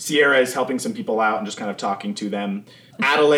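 Reading in an unforced voice

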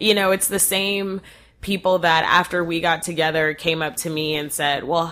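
A woman with an American accent has an ordinary speaking voice. Her pitch is fairly low with ordinary variation, and she speaks at a moderate pace. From North Texas. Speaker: podcast host. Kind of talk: casual chat.

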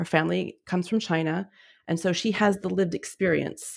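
With an American accent, an unremarkable speaking voice moves at a moderate pace with fairly even intonation, in a very clean recording against a silent background. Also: woman. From US Southwest, New Mexico. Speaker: freelance editor. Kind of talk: casual chat.

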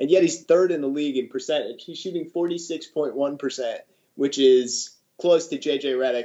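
A man with an American accent, an unremarkable speaking voice and ordinary pitch variation. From US Midwest, Chicago. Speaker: basketball fan. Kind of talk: casual chat.

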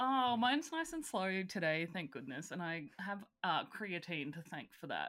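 A woman speaks at a medium pitch in an Australian accent, her tone bright and sharp. Her pitch swings very widely. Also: moderate pace. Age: 30s. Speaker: podcast co-host. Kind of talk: casual chat.

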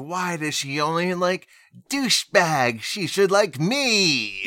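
Putting on a character voice, a man sounds nasal and whiny at a high pitch, with lively intonation and a fairly slow pace. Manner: whiny, complaining.

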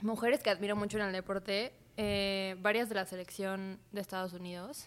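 In a very clean recording with a silent background, a woman talks at medium pitch with fairly even intonation. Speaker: podcast co-host. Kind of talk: casual chat.

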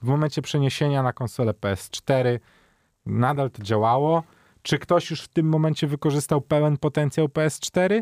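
This man has an unremarkable speaking voice, fairly high in pitch with ordinary pitch variation, delivered at a moderate pace in a dry, close sound with no echo. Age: 30s. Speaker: gaming show co-host. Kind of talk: casual chat.

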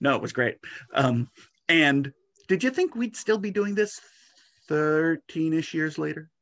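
With lively intonation and a fairly high pitch, a man speaks at a fairly slow pace, leaving long, frequent pauses. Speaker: fanzine editor interviewer. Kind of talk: casual interview.

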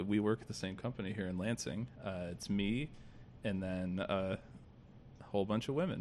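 A man with an American accent has an ordinary speaking voice with a fairly low pitch and ordinary pitch variation. He talks at a moderate pace, with big swings in loudness. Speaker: podcast host. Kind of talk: casual political chat podcast.

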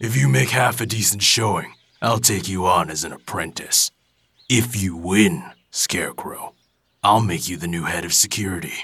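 Speech at a moderate tempo, with lively intonation. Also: man, fairly low pitch for a man. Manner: gruff, blunt, mocking.

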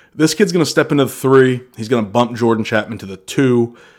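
A man with an American accent and medium pitch, fairly quick pace and ordinary pitch variation, on a very clean recording with a silent background. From US Northeast (northern Maine, New England). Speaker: sports podcast host. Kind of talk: solo sports commentary podcast. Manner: casual, ranting.

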